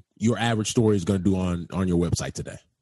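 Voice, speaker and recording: This man talks in an American accent. There's a somewhat breathy quality to his speech. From Chicago. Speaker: sports writer. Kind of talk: casual interview.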